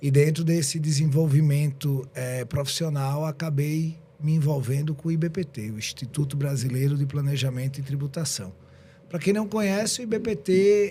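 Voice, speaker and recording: Somewhat breathy and dark, mellow in tone, a man speaks at a moderate pace. His pitch is fairly high, with ordinary variation. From southern Brazil (Rio Grande do Sul). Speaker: tax lawyer and entrepreneur. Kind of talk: podcast interview.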